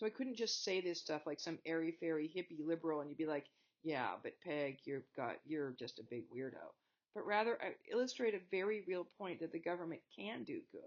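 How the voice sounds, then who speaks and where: A woman with an American accent speaks at a fairly low pitch and fairly quick pace with lively intonation. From Montana, US. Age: 60s. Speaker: college history teacher. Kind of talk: lecture. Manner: animated.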